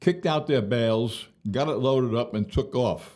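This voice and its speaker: A man's medium-pitched voice with a dark, mellow tone, moderate pace and a New York accent. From Brooklyn, New York. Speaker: retired police officer. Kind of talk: interview answer. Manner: frank, storytelling.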